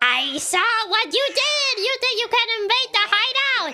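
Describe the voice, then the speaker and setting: Using a put-on character voice, a woman speaks at a fairly slow pace with an extremely high pitch. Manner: accusatory scolding.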